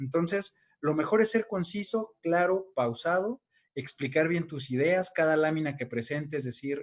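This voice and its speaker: A man's fairly high voice carries lively intonation. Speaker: academic advice panelist. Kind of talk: casual panel chat. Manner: fast.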